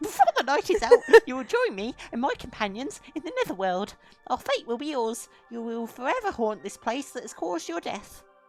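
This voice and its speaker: In a put-on character voice, a female-sounding voice talks at a fairly quick pace with a high pitch. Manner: gloating.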